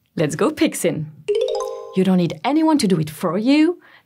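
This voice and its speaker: Against music in the background, a woman speaks with very wide pitch swings. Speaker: actress. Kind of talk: TV commercial read.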